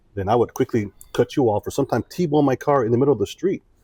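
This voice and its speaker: The delivery is very fast and somewhat breathy. The recording is very clean with a silent background, dry and close with no echo. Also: man. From US Midwest, Joliet, Illinois. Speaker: former military diplomat, entrepreneur. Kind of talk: interview conversation.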